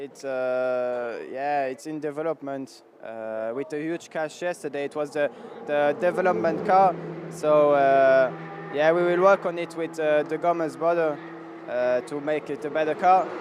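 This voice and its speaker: Over noticeable background noise, a man with a French accent speaks at a fairly high pitch with ordinary pitch variation. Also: fairly slow pace. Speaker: racing driver. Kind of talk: post-race interview. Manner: halting.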